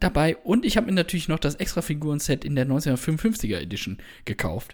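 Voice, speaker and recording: Using vocal fry, a man with a fairly high pitch speaks at a moderate pace with very wide pitch swings. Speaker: film podcast co-host. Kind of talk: casual chat.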